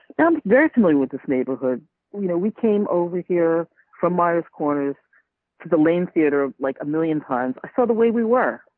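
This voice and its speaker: In a New York accent, a woman speaks at a fairly low pitch with lively intonation. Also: fairly quick pace. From Staten Island, New York. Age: 50s. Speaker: podcaster. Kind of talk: interview.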